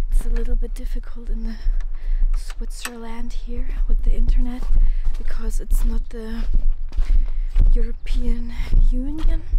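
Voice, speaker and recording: A woman speaks with long, frequent pauses over loud background noise. The sound is dry with no echo. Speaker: ASMR vlogger. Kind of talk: casual talk to camera, travel vlog. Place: open country. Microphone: phone near.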